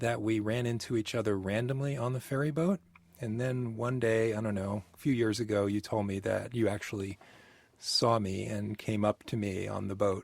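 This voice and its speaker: Talking at a moderate pace, a man shows ordinary pitch variation. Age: 50s. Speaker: storytelling interview participant. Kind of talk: recorded personal conversation. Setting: mobile recording studio. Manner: hesitant, many fillers.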